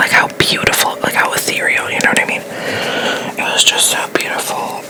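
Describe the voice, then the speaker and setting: Whispering at a moderate pace, with noticeable background noise. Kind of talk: ASMR get-ready-with-me makeup talk to camera. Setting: distant from the mic. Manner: whispered, soft.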